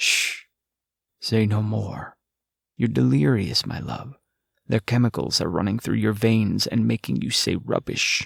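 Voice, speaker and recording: A man's put-on character voice, fairly low in pitch and fairly slow, broken by long, frequent pauses. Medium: read story. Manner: intimate, low, insistent.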